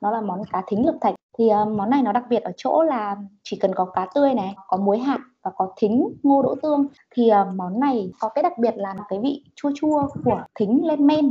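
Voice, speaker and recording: A woman talks at a moderate pace, her voice somewhat breathy, fairly high, and lively in intonation. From Vĩnh Phúc, northern Vietnam. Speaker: podcast co-host. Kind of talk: casual chat.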